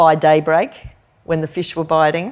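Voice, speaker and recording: A woman with an Australian accent and a fairly low pitch, on a very clean recording with a silent background. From Queensland, Australia (Hervey Bay). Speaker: professor and food activist. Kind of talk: live on-stage interview. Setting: stage with live audience in museum hall.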